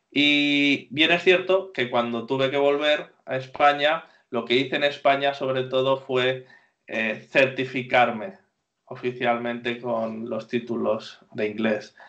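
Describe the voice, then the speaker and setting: At a very slow pace, a man speaks in a medium pitch. His pitch varies in an ordinary way. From Spain. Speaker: Spanish teacher. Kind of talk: interview.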